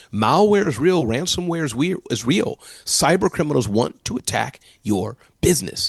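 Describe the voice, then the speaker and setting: An animated tone with very wide pitch swings and vocal fry, dry and close with no echo. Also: man, fairly high pitch for a man. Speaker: entrepreneur and keynote speaker. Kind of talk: interview. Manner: fast.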